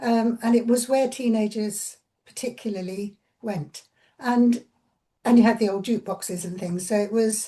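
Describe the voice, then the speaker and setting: A woman speaks at a moderate pace in a fairly high pitch with a dark, mellow tone. Her intonation stays fairly even, and her voice is somewhat breathy. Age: 80s+. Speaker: interviewee recalling 1960s. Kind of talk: interview reminiscence. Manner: halting, with repetitions.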